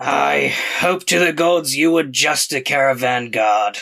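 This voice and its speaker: This put-on character voice is raspy and gravelly. It moves at a fairly slow pace. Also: man, medium pitch for a man. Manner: gruff, sizing people up.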